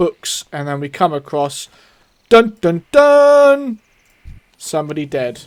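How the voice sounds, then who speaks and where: Recorded dry and close with no echo, a man talks at a very slow pace. His pitch is high, with very wide swings. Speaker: gaming YouTuber. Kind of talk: gameplay commentary. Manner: stutters and stumbles.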